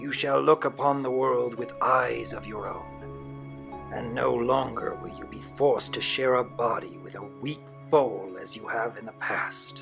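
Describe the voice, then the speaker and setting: Clear music plays in the background. A man does a put-on character voice at a fairly slow pace. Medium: audio drama. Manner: solemn, reverent.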